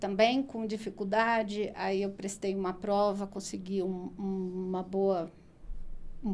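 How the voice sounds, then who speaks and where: A woman's voice at medium pitch, with fairly even intonation and a very slow pace. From São Paulo state interior (Araraquara), Brazil. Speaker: nutritionist and postgraduate coordinator. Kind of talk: podcast interview. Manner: conversational, many fillers.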